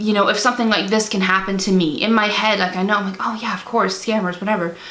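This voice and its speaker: There is noticeable background noise as a woman speaks at medium pitch with fairly even intonation. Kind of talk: casual talk to camera.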